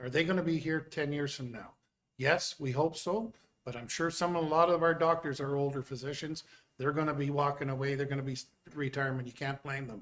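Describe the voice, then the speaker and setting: An ordinary speaking voice with fairly even intonation at a fairly quick pace. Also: man, fairly high pitch for a man. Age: 60s. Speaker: town councillor. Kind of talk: council meeting debate.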